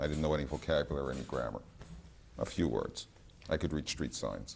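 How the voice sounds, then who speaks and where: With vocal fry and a very deep, low pitch, a man speaks fairly quickly in a fairly even intonation. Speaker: researcher. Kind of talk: lecture. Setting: gallery with audience. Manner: hesitant, many fillers.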